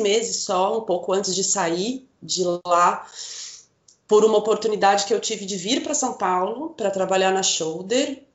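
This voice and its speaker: A woman with a plain, everyday voice at medium pitch. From northern Paraná, Brazil (Rolândia). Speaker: visual merchandising coordinator. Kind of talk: casual interview.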